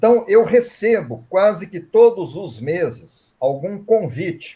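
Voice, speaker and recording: Very slow and high-pitched, a man's dark, mellow voice moves through very wide pitch swings and big swings in loudness. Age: 60s. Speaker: writer and reiki teacher. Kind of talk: interview.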